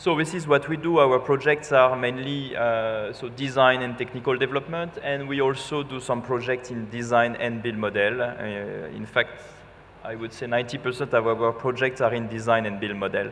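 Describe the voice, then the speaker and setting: With noticeable background noise behind him, a man speaks in a French accent. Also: medium pitch for a man, fairly even intonation, moderate pace. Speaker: architect, design firm representative. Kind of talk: conference talk. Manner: hesitant, with fillers.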